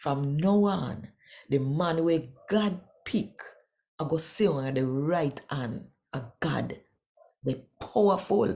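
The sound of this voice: The tone is dark and mellow, with vocal fry throughout. Delivery is slow, and the intonation is lively. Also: woman, low pitch for a woman.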